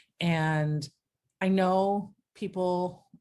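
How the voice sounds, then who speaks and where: A woman's dark, mellow voice with fairly even intonation, in a very clean recording over a silent background. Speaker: lifestyle vlogger. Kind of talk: personal video diary reflection. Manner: casual with frequent fillers.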